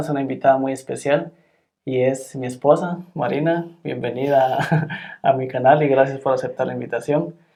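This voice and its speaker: A man talks at a moderate pace in a fairly high voice with a dark, mellow tone. His intonation is monotone and flat. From Guatemala. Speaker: YouTube channel host. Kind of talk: interview. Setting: in person, not over Zoom.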